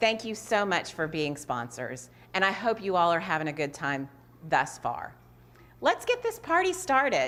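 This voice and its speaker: A woman's medium-pitched voice with very wide pitch swings. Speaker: nonprofit executive director. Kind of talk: event hosting. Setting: virtual gala livestream.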